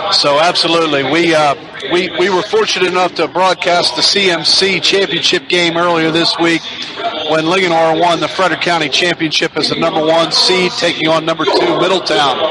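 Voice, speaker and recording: A man's high voice at a fairly quick pace, flat and monotone, with audible room echo and noticeable background noise. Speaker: radio sports play-by-play announcer. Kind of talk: pregame sports broadcast talk.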